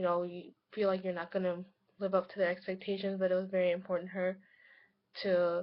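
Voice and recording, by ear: A woman speaks fast at a fairly low pitch. Her pitch moves very little.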